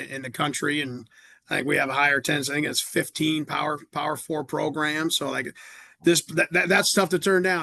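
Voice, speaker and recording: A man with a Midwestern American accent, fairly high in pitch, bright and sharp in tone, at a very fast pace. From Indiana, Fort Wayne. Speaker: college football coach. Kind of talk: podcast interview. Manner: halting, many repetitions.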